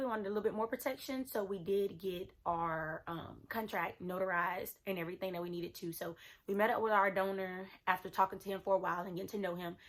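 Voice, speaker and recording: A woman talks at a very fast pace with hardly any pauses and ordinary pitch variation. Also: medium pitch for a woman. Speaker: lifestyle vlogger. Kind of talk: casual vlog tutorial.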